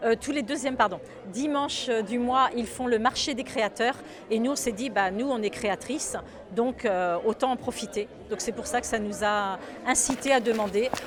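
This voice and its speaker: A woman with a fairly high voice and ordinary pitch movement talks at a medium tempo. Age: 60s. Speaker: shop founder and seamstress. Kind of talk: interview. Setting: in a shop. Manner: hesitant, many fillers.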